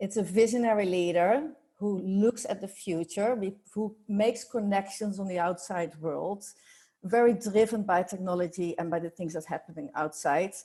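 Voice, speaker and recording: A woman with a Dutch accent speaks in a dark, mellow tone. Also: medium pitch for a woman, ordinary pitch variation, moderate pace. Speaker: workplace culture consultant. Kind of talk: podcast interview. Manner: halting.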